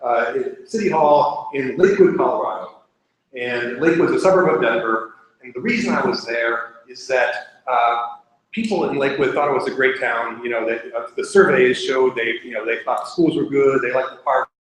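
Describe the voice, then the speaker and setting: With lively intonation and big swings in loudness, a man talks at a fairly quick pace in a fairly high pitch, and room echo can be heard. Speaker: nonprofit democracy organization leader. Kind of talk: public talk. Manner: fast.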